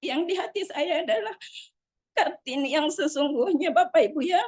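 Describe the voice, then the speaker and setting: At a moderate pace, a woman talks in a high voice with ordinary pitch variation and a dry, close sound with no echo. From Bone, South Sulawesi. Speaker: network marketing member. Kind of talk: motivational testimony. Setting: video call.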